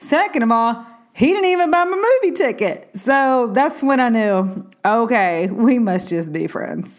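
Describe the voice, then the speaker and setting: Her pitch swings very widely around a fairly high level. The woman talks at a fairly slow pace. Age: 30s. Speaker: faith podcast host. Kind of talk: solo podcast monologue. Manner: animated.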